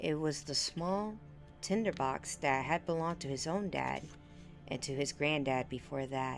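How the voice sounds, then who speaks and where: Music plays in the background as a woman speaks at a very deep, low pitch. She talks fairly slowly, with ordinary pitch variation. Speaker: vtuber. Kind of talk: ASMR book reading. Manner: quiet, soft-spoken.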